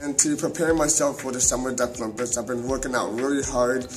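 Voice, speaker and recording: A man speaks very fast at a medium pitch with an American accent and fairly even intonation. Music plays in the background, and the room echo is audible. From Texas, Houston. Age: 20s. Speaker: taekwondo athlete and instructor. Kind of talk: personal testimony. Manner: halting, many fillers and repetitions.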